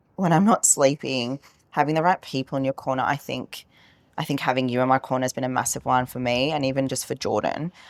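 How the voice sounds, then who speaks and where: A woman with a very deep, low pitch talks at a very fast pace, the sound dry and close with no echo. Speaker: business owner and coach. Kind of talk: casual chat. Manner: loud; animated.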